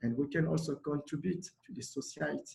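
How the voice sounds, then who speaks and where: Somewhat breathy speech in a Congolese accent carries ordinary pitch variation. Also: man. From DR Congo, Kinshasa. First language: Lingala. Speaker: refugee community organizer. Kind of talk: panel talk. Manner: halting.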